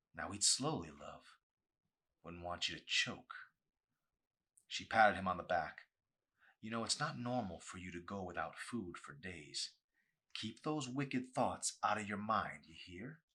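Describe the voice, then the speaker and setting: A man's raspy put-on character voice, fairly low in pitch with lively intonation, at a moderate pace with long, frequent pauses. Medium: read story. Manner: falsely tender, scolding.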